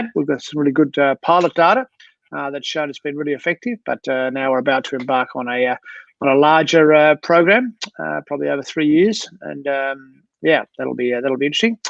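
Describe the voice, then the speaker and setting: A man speaks at a fairly quick pace with an Australian accent. His pitch sits fairly high for a man, with ordinary variation. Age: 60s. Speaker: sports doctor. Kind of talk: interview. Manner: halting, many fillers.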